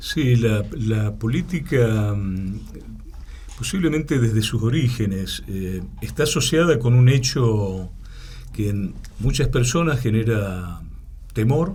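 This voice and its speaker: With an Argentine accent, a man talks at a very slow pace, medium in pitch, with lively intonation. Noticeable background noise and audible room echo fill the recording. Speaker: political science professor. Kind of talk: interview. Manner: hesitant, many fillers.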